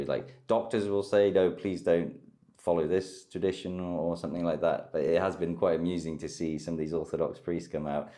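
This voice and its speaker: A man with a very deep, low voice, a dark, mellow tone and a British accent, at a moderate pace. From United Kingdom. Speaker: war correspondent. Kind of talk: interview answer.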